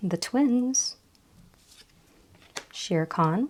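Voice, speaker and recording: A woman's pitch swings very widely as she speaks. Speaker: card game vlogger. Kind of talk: unboxing vlog.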